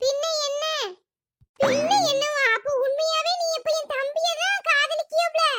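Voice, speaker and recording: A cartoonish character voice from a woman, extremely high in pitch, with very wide pitch swings and a fairly slow pace. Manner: exasperated, scheming.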